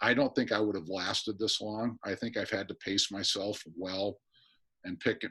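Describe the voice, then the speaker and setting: In an American accent, a man speaks at a moderate pace with a fairly low pitch and fairly even intonation. His tone is bright and sharp, and the background is quiet. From US Midwest (northern Michigan). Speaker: college swim coach. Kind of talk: interview. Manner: halting.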